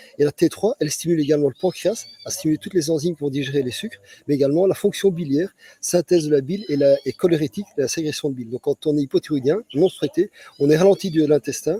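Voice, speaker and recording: Very fast and fairly high for a man, this voice has ordinary pitch variation and a dry, close sound with no echo. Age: 60s. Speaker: physician. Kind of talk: interview. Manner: halting, many repetitions.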